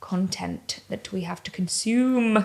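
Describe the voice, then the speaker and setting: This is a woman speaking. She talks with an English accent. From England. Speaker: comedian and interviewer. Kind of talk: podcast interview answer. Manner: dry, deadpan.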